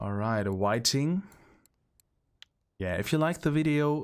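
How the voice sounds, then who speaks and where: A man with a German accent speaks at a moderate pace with lively intonation. The recording is very clean, with a silent background. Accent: non-native English, German. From central Germany. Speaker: gaming streamer. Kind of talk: gameplay commentary. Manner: hesitant, with fillers.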